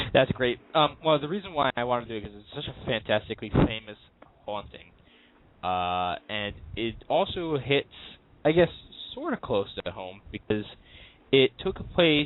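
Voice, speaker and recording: A man with a Long Island accent talks at a medium pitch with very wide pitch swings. His loudness swings a lot, and he leaves long, frequent pauses. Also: moderate pace. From Long Island, New York. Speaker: paranormal radio show host. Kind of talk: casual talk radio chat. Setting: internet radio show.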